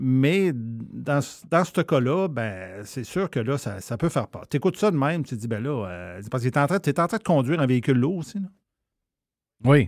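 A man speaks at medium pitch and a moderate pace. His pitch swings very widely on a very clean recording with a silent background. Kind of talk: casual chat.

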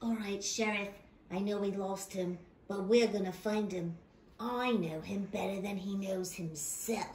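A female-sounding voice in a cartoonish character style speaks at medium pitch and a fairly slow pace, with clear background noise. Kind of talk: puppet horror parody.

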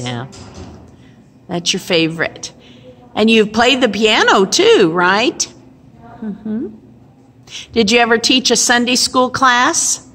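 A woman with a fairly high pitch speaks at a very slow pace, leaving long, frequent pauses. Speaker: pastor. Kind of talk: interviewer questions. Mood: warm, gentle, encouraging. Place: hall. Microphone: phone near.

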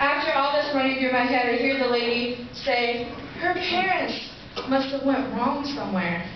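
A woman with a high-pitched voice is heard amid strong room echo and noticeable background noise. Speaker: spoken word poet. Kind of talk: spoken word poetry performance. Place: stage. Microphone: camera far.

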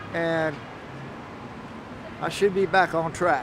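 A dry sound with no echo, plus noticeable background noise. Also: man. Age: 60s. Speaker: homeless military veteran. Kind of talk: interview answer. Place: street.

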